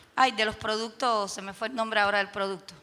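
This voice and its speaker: Noticeable background noise behind a woman's moderately paced speech. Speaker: teacher and teacher trainer. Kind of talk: panel discussion.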